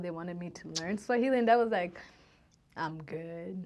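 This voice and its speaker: A woman talks at a fairly quick pace in a Burundian accent. Her pitch sits fairly low. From Tanzania-born, raised mostly in the US. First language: Kirundi. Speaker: social worker and public speaker. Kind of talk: casual interview chat.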